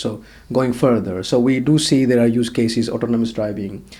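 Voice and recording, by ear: The speaker moves at a fairly quick pace. The tone is slightly mellow. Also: man.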